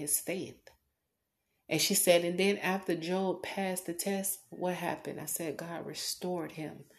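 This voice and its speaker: A woman with an unremarkable speaking voice talks at a fairly low pitch and fairly slow pace. Her intonation is fairly even, against a quiet background. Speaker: podcaster. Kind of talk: testimony.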